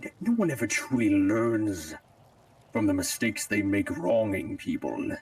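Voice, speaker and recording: A man's put-on character voice at a very even loudness. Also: moderate pace. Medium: game stream. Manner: grandiose, dark.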